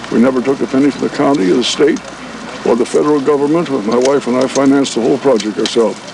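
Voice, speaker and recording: Noticeable background noise sits under a man speaking at a very fast pace. His pitch is medium and his intonation fairly even. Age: 80s+. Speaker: former resort owner and radio evangelist. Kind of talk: impromptu speech to a crowd.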